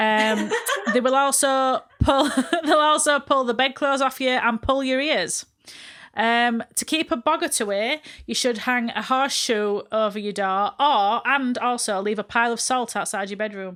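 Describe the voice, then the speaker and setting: A woman speaks with a Yorkshire accent in a bright, sharp tone, high-pitched with ordinary pitch variation. The recording is very clean, with a silent background. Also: moderate pace. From northern England, Barnsley. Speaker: podcast co-host. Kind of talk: casual chat.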